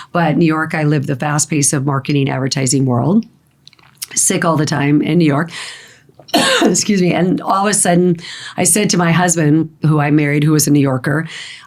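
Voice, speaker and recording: A woman speaks at a fairly quick pace in a very deep, low voice with ordinary pitch variation and very even loudness. There is noticeable background noise. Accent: American. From Arizona. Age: 60s. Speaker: holistic health practitioner. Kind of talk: podcast interview.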